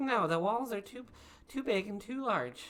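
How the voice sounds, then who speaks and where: In a put-on character voice, a woman speaks at a moderate pace with a fairly high pitch. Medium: actual play. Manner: giggly, playful.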